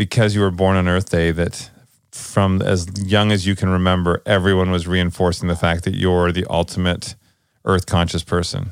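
Over a very clean recording with a silent background, a man with a very deep, low pitch speaks at a moderate pace and with fairly even intonation. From Canada, British Columbia. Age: 30s. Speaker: podcast co-host. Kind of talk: casual chat.

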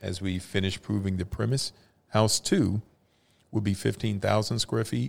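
With an American accent and vocal fry, a man speaks at a moderate pace. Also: fairly low pitch for a man, ordinary pitch variation. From Dallas, Texas. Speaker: founder of a nonprofit, lawyer. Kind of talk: casual interview.

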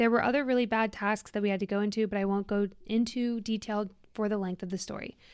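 At a fairly quick pace, a woman with a fairly high pitch talks with ordinary pitch variation in a very clean recording with a silent background. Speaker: fitness podcast host. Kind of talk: casual chat. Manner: animated.

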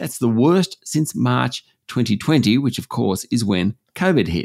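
The speaker talks at a moderate pace with an Australian accent. The recording is very clean, with a silent background and a dry, close sound with no echo. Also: man. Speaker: business news presenter. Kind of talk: news reading, delivering business headlines. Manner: steady, clear, measured, formal newsreader delivery.

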